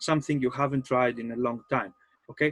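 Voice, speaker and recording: Heard dry and close with no echo, a man with a Greek accent speaks fairly quickly at a medium pitch with ordinary pitch variation. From Greece. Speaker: game master and life coach. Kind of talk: seminar talk. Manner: halting.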